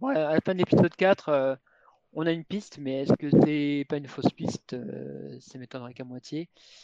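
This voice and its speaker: A man speaks at a moderate pace with a fairly high pitch and a dark, mellow tone. His pitch variation is ordinary. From Bordeaux region, southwest France. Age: 40s. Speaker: author. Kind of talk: interview. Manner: halting, frequent repetitions and hesitations.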